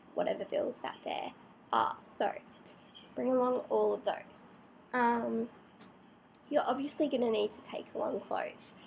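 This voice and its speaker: With an Australian accent, a woman speaks at a fairly slow pace, leaving long, frequent pauses and making big swings in loudness. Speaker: vlogger. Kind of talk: casual vlog tutorial. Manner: hesitant, many fillers.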